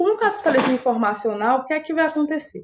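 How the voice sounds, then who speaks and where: A woman talks with lively intonation. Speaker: high school geography teacher. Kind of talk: lecture.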